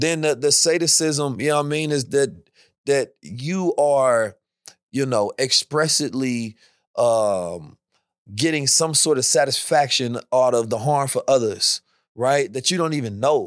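Speaking at a fairly slow pace in an ordinary speaking voice, a man is heard on a very clean recording with a silent background. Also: fairly high pitch for a man, ordinary pitch variation. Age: 30s. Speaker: thought leader and blockchain enthusiast. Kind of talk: casual chat.

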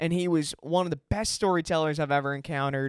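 A man with a fairly high pitch and an American accent uses ordinary pitch variation in a plain, everyday voice, recorded very cleanly with a silent background and a dry, close sound with no echo. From Chicago. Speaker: podcast host. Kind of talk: casual banter.

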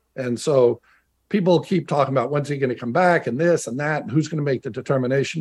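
Somewhat breathy and fairly high in pitch, a man talks at a very fast pace with lively intonation over a quiet background. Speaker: former NFL player and radio analyst. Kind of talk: casual chat.

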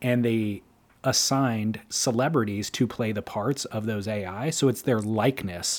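A man at a medium pitch talks at a moderate pace in a normal speaking voice. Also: ordinary pitch variation, very clean recording, silent background. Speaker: surf podcast co-host. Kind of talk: casual chat.

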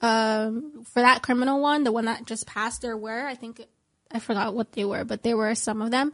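A woman with a plain, everyday voice talks at a fairly quick pace and a fairly high pitch. Her intonation is fairly even, and the background is quiet. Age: 20s. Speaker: guest speaking out about a legal case. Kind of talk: interview.

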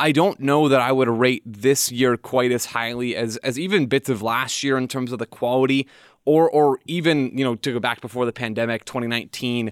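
A man with an unremarkable speaking voice talks at a fairly quick pace and medium pitch, with fairly even intonation and hardly any pauses. The recording is very clean, with a silent background and a dry, close sound with no echo. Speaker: soccer analyst. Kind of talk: casual chat.

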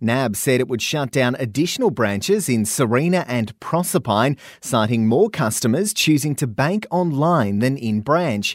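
With an Australian accent, a man talks at a moderate pace with lively intonation and hardly any pauses. The recording is very clean, with a silent background. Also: medium pitch for a man. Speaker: radio news presenter. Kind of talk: news reading. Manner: crisp, brisk, even newsreader delivery.

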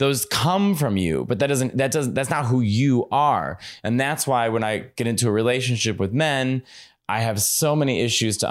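On a very clean recording with a silent background, a man speaks with a Chicago accent. His pitch variation is ordinary. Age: 30s. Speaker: comedian. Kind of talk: casual chat. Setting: home.

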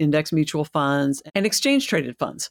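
At a moderate pace, a woman is talking. Her recording is very clean, and the background is silent. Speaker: podcast host. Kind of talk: casual chat.

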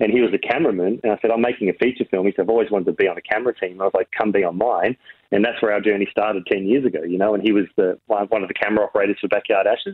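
With an Australian accent, a man talks at a very fast pace with hardly any pauses. His fairly low pitch stays in fairly even intonation, and his loudness is very even. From Australia, Riverina NSW. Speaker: film director. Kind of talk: interview.

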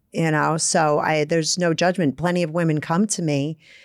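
Moderate pace in a Brooklyn accent, on a very clean recording with a silent background. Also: woman. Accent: Brooklyn New York. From Brooklyn, New York. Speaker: therapist and author. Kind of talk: casual interview chat.

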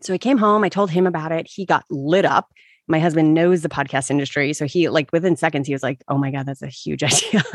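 Over a quiet background, a woman talks at a very fast pace in a very deep, low pitch with ordinary pitch variation, the sound dry and close with no echo. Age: 40s. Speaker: meditation podcaster. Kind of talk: casual chat. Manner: halting.

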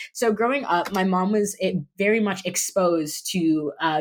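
A woman speaks in a normal speaking voice with an American accent. Her pitch is medium, with ordinary variation. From Miami Beach, Florida, US. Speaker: podcast guest. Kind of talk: interview testimony.

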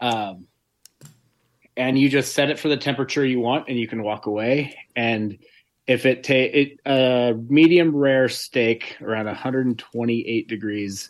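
In an ordinary speaking voice, a man of medium pitch talks at a fairly slow pace with ordinary pitch variation against a quiet background. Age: 40s. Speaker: general contractor and weightlifter, co-host. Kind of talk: casual chat.

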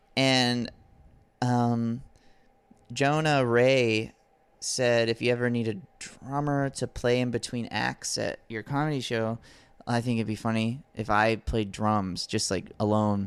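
A man with a plain, everyday voice and an American accent speaks at a fairly slow pace, with medium pitch and fairly even intonation. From US South, Alabama beach town. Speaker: comedian and musician. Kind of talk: casual chat.

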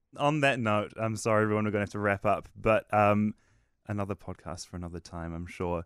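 A man with a New Zealand accent speaks at a fairly quick pace in a fairly low pitch. His pitch varies in an ordinary way, while his loudness swings widely. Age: young. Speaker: podcast host. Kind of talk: casual chat. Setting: studio.

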